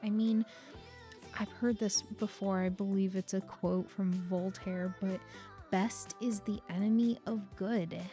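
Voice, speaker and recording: Over music in the background, a woman talks at medium pitch with fairly even intonation and very even loudness. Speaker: digital artist. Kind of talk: voiceover commentary on a speedpaint.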